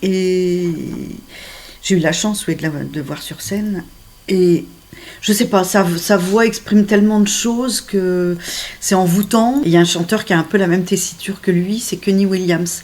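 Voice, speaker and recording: A woman with a medium-pitched voice speaks at a fairly slow pace with ordinary pitch variation. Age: 60s. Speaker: dating agency client. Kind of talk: interview. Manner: hesitant with many fillers.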